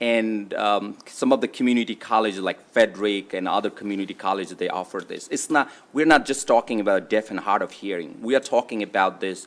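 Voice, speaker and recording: A non-native accent at a fairly quick pace, with hardly any pauses and ordinary pitch variation. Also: man, fairly low pitch for a man. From immigrant to US. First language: not English. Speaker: state delegate presenting bill. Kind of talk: legislative testimony. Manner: halting, many fillers.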